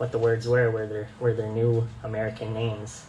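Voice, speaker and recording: A man at medium pitch in a monotone, flat intonation, fairly slow pace, audible room echo and noticeable background noise. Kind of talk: presentation. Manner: halting, many fillers.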